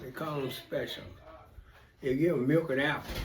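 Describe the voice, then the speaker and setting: A man with a fairly high-pitched voice talks while music plays behind him. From Georgia, raised in Detroit. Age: 80s+. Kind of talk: interview answer, storytelling.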